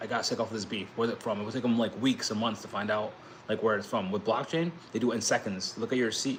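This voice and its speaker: Over noticeable background noise, a man with an American accent talks at a medium pitch with fairly even intonation. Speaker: crypto YouTuber and blockchain entrepreneur. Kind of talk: casual livestream talk. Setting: livestream. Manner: fast, rambling with restarts.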